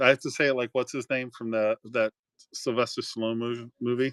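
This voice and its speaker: In an American accent, a man with medium pitch speaks at a moderate pace in a flat monotone, the sound dry and close with no echo. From South Florida. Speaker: live auction seller. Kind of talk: live auction stream.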